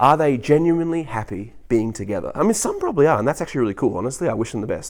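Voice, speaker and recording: A man with a fairly high pitch talks very fast in an animated tone, his pitch swinging very widely. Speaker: vlogger. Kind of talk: casual monologue.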